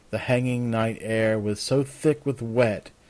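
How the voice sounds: In a natural reading voice, the speech keeps a fairly even intonation.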